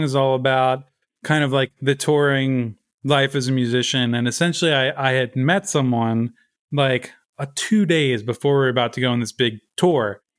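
With an American accent, a man speaks at a moderate pace in a plain, everyday voice. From Baltimore, Maryland. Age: 30s. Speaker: indie rock musician. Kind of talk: casual interview.

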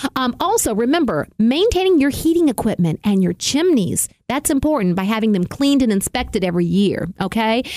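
A woman speaks fairly quickly in a Southern US accent with hardly any pauses and very even loudness. Her dark, mellow tone sits fairly high in pitch and swings very widely. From US South. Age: 50s. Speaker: radio host. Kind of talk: tutorial; casual chat. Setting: studio.

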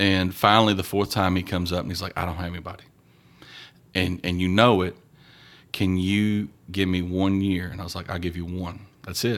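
Very deep and low, a man with an American accent talks at a fairly quick pace in a flat monotone with long, frequent pauses, on a very clean recording with a silent background. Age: 40s. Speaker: high school basketball coach. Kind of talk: casual interview.

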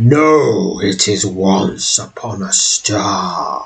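A man does a put-on character voice, booming and rumbling at a medium pitch. He speaks at a very slow pace.

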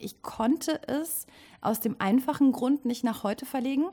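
Her voice is somewhat breathy with a dark, mellow tone as the woman speaks at a fairly slow pace with ordinary pitch variation. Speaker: actress and theatre director. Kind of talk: casual interview. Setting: rehearsal stage.

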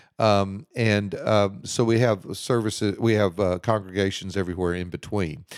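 A man with a Texan accent and a fairly low pitch comes through on a very clean recording with a silent background. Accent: Texan American English. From Houston, Texas. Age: 60s. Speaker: pastor. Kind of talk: casual interview.

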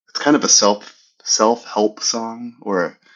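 A man speaks at medium pitch with an American accent. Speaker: podcast co-host. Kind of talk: casual chat.

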